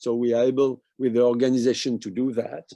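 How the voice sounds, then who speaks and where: With a French accent, a man speaks at a moderate pace in a dark, mellow tone at medium pitch. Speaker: medical researcher. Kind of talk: conference presentation. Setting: webinar. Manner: halting.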